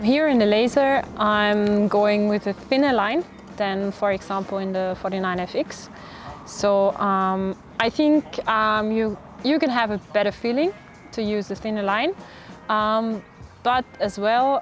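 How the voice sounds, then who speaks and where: Music sits in the background. The speech is fairly slow, with ordinary pitch variation. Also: woman. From Austria. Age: 20s. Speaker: professional sailor. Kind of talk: interview talk about her sport. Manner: halting, many fillers.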